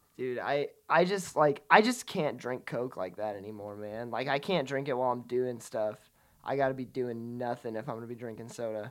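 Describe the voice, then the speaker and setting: A man with an unremarkable speaking voice, medium in pitch with ordinary pitch variation, talks at a moderate pace on a very clean recording with a silent background. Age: 20s. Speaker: podcast co-host. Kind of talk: casual chat.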